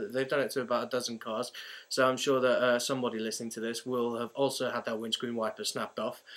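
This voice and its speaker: On a very clean recording with a silent background, a man at medium pitch talks at a very fast pace with monotone, flat intonation. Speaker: student podcast host. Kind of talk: casual chat. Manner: laughing often.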